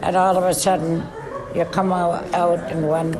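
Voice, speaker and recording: A medium-pitched woman with a Canadian accent at a very slow pace, with noticeable background noise behind her. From Alberta, Canada. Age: 80s+. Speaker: Métis elder, residential school survivor. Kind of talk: interview answer. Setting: recorded on location.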